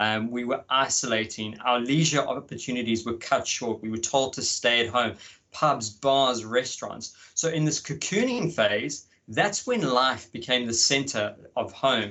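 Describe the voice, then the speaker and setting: The speaker has an Australian accent. Pitch varies an ordinary amount. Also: man, medium pitch for a man, fairly slow pace. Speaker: market research consultant. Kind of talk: conference presentation. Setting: video call from home. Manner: animated.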